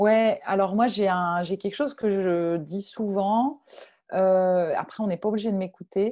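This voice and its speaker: Speaking at a very slow pace, a woman with a medium pitch and ordinary pitch variation is heard in a very clean recording with a silent background. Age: 30s. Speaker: freelance digital marketing consultant. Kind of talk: interview. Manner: halting, many repetitions.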